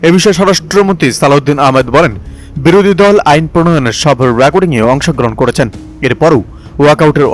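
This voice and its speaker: With lively intonation, a man talks as music plays in the background. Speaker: voice-over artist. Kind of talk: news read.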